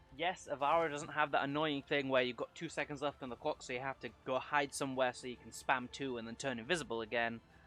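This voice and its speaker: Over music in the background, the speech rushes along at a very fast pace with fairly even intonation. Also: man, medium pitch for a man. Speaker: gaming youtuber. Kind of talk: unscripted gameplay commentary. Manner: halting.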